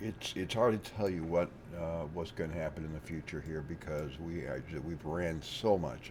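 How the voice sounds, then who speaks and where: A man with a very deep, low voice and vocal fry talks at a moderate pace. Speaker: stock market trader. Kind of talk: market commentary to viewers. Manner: casual, halting.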